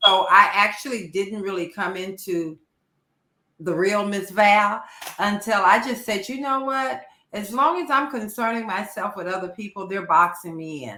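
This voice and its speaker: This woman has an unremarkable speaking voice at a medium pitch, talking at a moderate pace with lively intonation and big swings in loudness. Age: 60s. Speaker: radio host guest. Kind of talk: casual chat.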